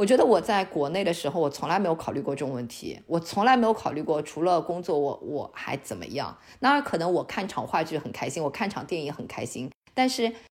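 This woman speaks with a fairly low pitch at a fairly quick pace. Her voice makes very wide pitch swings. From China. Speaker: online Chinese teacher and immigrant. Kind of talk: podcast interview.

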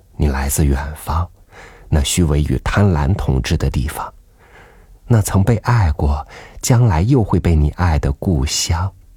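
Against noticeable background noise, a man with a very deep, low voice speaks very slowly, with long, frequent pauses and lively intonation. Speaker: podcast host reading an essay. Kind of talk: literary audiobook reading, reflective prose essay. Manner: slow, contemplative, wistful, gently measured; soft, intimate, pausing between phrases.

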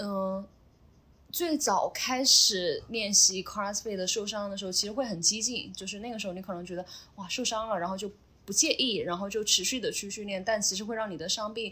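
At a fairly quick pace, a woman with a plain, everyday voice speaks at a medium pitch that varies in an ordinary way. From Sichuan / Chongqing, China. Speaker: CrossFit athlete and coach. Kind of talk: interview.

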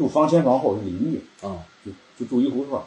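A man is talking. His pace is fairly quick. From northern China, Cangzhou area of Hebei. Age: 40s. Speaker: antique furniture collector. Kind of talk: casual interview chat.

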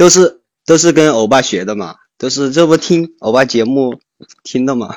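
A man's normal speaking voice at medium pitch, with lively intonation and a moderate pace. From Chengdu, China. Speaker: listener on call. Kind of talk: casual chat. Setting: voice call on live stream.

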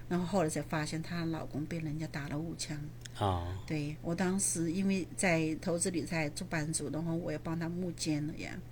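In a room with audible echo, a woman talks at a moderate pace with a very deep, low pitch, ordinary pitch variation and vocal fry. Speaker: real estate investor and landlord. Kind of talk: interview.

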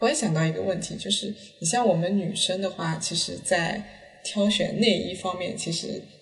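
A woman's medium-pitched voice at a moderate pace with ordinary pitch variation, amid audible room echo and noticeable background noise. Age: late 20s. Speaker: podcast host. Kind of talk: casual chat. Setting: at home.

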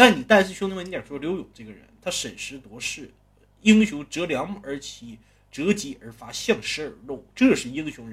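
A man with a high pitch, very wide pitch swings, big swings in loudness and a moderate pace. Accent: Northeastern Chinese. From Northeast China. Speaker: storyteller. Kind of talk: storytelling narration. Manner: casual, conversational.

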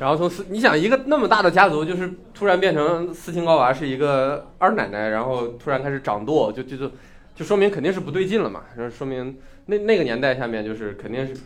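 This man's pitch is fairly high. It swings very widely. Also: fairly quick pace. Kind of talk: casual chat.

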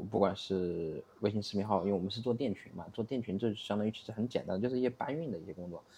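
Talking at a very fast pace, a man uses a dark, mellow tone at a fairly low pitch with ordinary pitch variation. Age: 30s. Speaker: e-commerce entrepreneur. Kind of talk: casual interview. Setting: studio.

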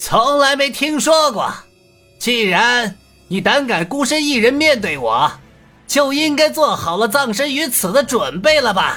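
Over faint music in the background, a man uses a put-on character voice, extremely high and bright, sharp in tone, with big pitch swings at a fairly slow pace.

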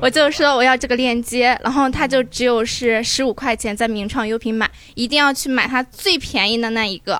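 A woman talks at a high pitch. Her pace is fairly quick and her intonation fairly even. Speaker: audience member. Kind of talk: casual chat.

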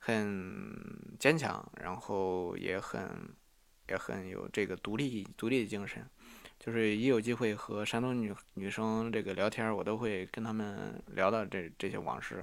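A man speaks at a fairly slow pace. His voice is fairly low, with ordinary pitch variation. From Henan, Sanmenxia. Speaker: podcast host. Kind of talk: solo storytelling monologue. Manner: halting, many fillers and repetitions.

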